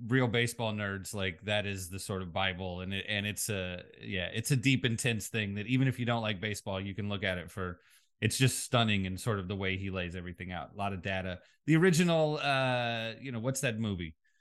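A man with an unremarkable speaking voice, a fairly low pitch, ordinary pitch variation and a fairly quick pace. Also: quiet background. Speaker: podcast co-host. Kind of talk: casual chat. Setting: remote from other host.

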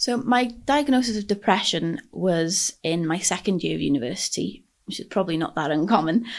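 Fast-moving with hardly any pauses, a woman talks at a fairly quick pace in a North Welsh accent. Her medium-pitched voice has vocal fry and lively intonation against a quiet background. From North Wales, Anglesey. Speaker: mental health advocate. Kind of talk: interview. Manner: hesitant, many fillers.

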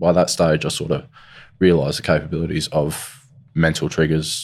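A man with an Australian accent and a very deep, low voice. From South Australia. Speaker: crime victim's son. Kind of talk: interview. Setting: studio.

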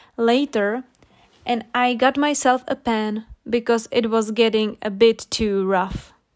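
Speaking with a non-native accent, a woman talks at a fairly slow pace in a fairly high pitch. The recording is very clean, with a silent background and a dry, close sound with no echo. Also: fairly even intonation. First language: not English. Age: 20s. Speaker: English-learning podcaster. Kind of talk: storytelling with vocabulary explanations. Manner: slow, clear.

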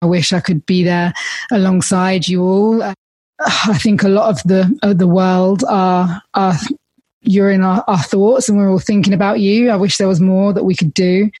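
The voice is somewhat breathy, with a dark, mellow tone. It moves at a moderate pace with ordinary pitch variation and very even loudness. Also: woman, medium pitch for a woman. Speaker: podcast host. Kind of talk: scripted narration and interview.

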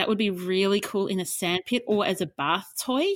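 A woman's medium-pitched voice with an Australian accent, at a moderate pace with ordinary pitch variation, dry and close with no echo, on a very clean recording over a silent background. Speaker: podcast co-host, professional declutterer. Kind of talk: casual chat.

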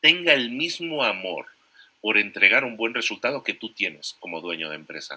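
A man's medium-pitched voice with a bright, sharp tone, very wide pitch swings and a moderate pace, in a very clean recording with a silent background. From Spain. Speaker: entrepreneur and podcaster. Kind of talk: interview.

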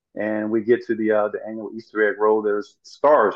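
A man speaks in a monotone, flat intonation with a Southern US accent. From US South, rural Arkansas. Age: 40s. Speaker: former pro basketball player and motivational speaker. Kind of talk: interview.

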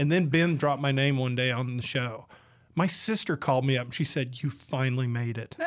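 A man talks with a Southern US accent. His pitch sits in the medium range. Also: ordinary pitch variation, fairly quick pace. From Georgia, US South. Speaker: radio host and editorial cartoonist. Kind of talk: casual chat. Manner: animated.

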